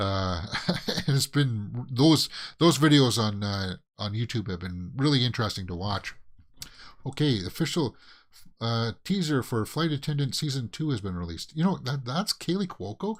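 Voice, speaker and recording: On a very clean recording with a silent background, a man with a Canadian accent speaks at a moderate pace and medium pitch, with very wide pitch swings. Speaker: movie news vlogger. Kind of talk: casual news commentary. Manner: hesitant, many fillers.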